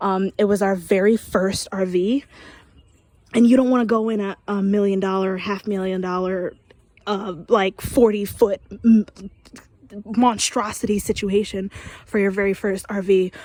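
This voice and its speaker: Quiet and monotone, a woman with a medium pitch and a dark, mellow tone speaks at a moderate pace, leaving long, frequent pauses. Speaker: vlogger giving an RV walkthrough. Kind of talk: casual walkthrough vlog. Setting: outdoors. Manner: quiet, low-volume talk; hesitant, many fillers.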